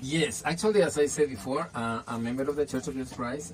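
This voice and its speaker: Over noticeable background noise, a man with a Spanish accent speaks at a fairly quick pace with ordinary pitch variation. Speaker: language teacher. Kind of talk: interview. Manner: halting.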